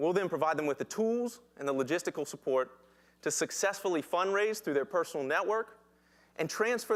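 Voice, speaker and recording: On a very clean recording with a silent background, a man with a Southern US accent speaks at a very fast pace. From US South, Danville, Virginia. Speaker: social entrepreneur. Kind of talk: pitch presentation.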